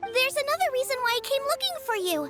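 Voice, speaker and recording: In a put-on character voice, a woman speaks very fast with an extremely high, squeaky pitch and a warm, energetic tone over clear background music. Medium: video game. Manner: warm, energetic, talkative.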